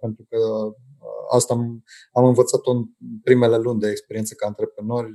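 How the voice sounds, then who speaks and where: A man with a dark, mellow tone talks at a fairly quick pace. His intonation stays flat and monotone, broken by long, frequent pauses. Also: medium pitch for a man. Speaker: entrepreneur. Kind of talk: interview. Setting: video call. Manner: halting.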